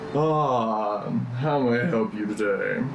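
Amid loud background noise, a man puts on a character voice at a medium pitch. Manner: polite, welcoming.

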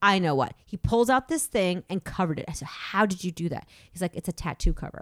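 Lively intonation drives a very fast pace, heard in a dry, close sound with no echo. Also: woman, medium pitch for a woman. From Massachusetts. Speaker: actor and improviser. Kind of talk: casual chat.

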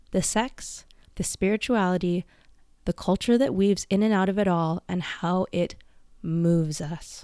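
A woman with a Canadian accent has a plain, everyday voice at a medium pitch, speaking fairly slowly with fairly even intonation. The very clean recording has a silent background and a dry, close sound with no echo. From western Canada. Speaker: podcast host. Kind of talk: personal monologue.

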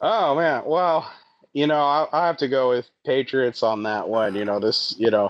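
This man has a normal speaking voice, fairly high in pitch, with an American accent, lively intonation and a moderate pace. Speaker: comedian. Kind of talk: casual chat.

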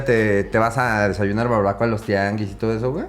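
Over background music, a man talks at a fairly quick pace. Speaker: podcast host. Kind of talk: casual interview. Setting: live-streamed podcast.

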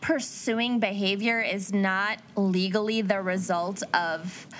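A woman speaks with an Upper Midwest accent. Her pace is very slow. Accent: Upper Midwest American. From Minnesota. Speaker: podcast co-host. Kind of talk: casual chat with case narration.

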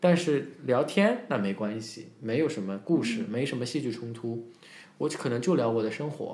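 This is a man with an ordinary speaking voice at medium pitch. He goes at a moderate pace with ordinary pitch variation. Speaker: English teacher and speech coach. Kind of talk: casual podcast interview. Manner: fluent, code-switching between Chinese and English.

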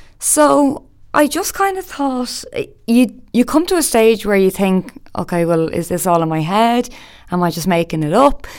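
This woman talks at a moderate pace, her pitch swinging very widely. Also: fairly high pitch for a woman. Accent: Dublin. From Ireland, Dublin. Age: 20s. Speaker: podcast host. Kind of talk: personal monologue.

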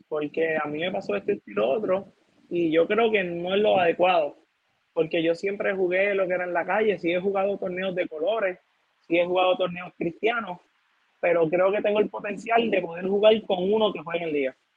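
With ordinary pitch variation, a man with a high pitch speaks at a fairly quick pace. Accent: Puerto Rican. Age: 20s. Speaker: youth basketball coach. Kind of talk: casual interview.

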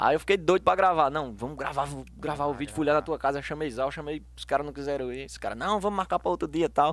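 Very fast and with hardly any pauses, a man with a fairly high voice speaks with big swings in loudness and ordinary pitch variation, in a very clean recording over a silent background. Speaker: singer and hairdresser. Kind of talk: casual chat.

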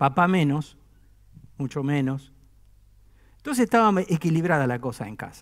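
At a moderate pace, a man with a fairly high pitch speaks with lively intonation, big swings in loudness, and long, frequent pauses. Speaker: pastor. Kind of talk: sermon. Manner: conversational, with humor.

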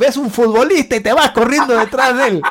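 A man talks very fast with ordinary pitch variation, noticeable background noise behind him. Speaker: opera tenor. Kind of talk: casual chat. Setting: remote call.

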